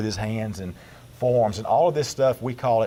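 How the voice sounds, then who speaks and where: Here a man speaks in a Southern US accent at a moderate pace. His medium pitch moves with fairly even intonation. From Georgia, US South. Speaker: pastor and strongman team member. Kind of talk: radio interview. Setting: studio.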